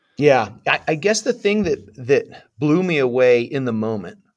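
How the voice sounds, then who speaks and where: Against a quiet background, a man talks with a West Coast US accent. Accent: General American (West Coast). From Southern California. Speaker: former Marine infantry officer. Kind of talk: interview storytelling.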